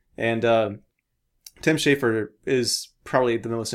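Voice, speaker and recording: This man speaks with a West Coast accent in a monotone, flat intonation. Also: very clean recording, silent background. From US Pacific Northwest, Portland. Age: 20s. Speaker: indie game developer. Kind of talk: casual chat.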